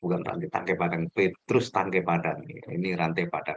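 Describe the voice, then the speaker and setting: Ordinary pitch variation in a very deep, low male voice. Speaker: trainer for new civil servants. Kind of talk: online training session. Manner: deliberately slow. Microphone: connection dropping out.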